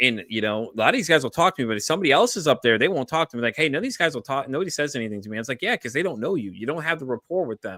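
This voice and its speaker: A man with an American accent speaks loudly at a very fast pace with hardly any pauses, a fairly high pitch, lively intonation and a bright, sharp tone. The recording is very clean with a silent background and a dry, close sound with no echo. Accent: Chicago accent, comes out when angry. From US Midwest, Chicago area. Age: 30s. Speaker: podcast host. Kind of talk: casual chat. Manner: loud, high energy; animated.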